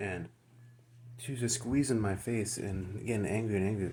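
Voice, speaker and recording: A man speaks at a fairly low pitch and sounds somewhat breathy. His pitch varies in an ordinary way. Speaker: vlogger. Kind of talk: personal story. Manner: halting.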